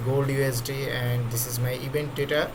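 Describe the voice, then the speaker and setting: A man's medium-pitched voice at a fairly slow pace, with audible room echo and noticeable background noise. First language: not English. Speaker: trading tutorial creator. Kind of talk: screen-recorded tutorial. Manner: halting, with many fillers.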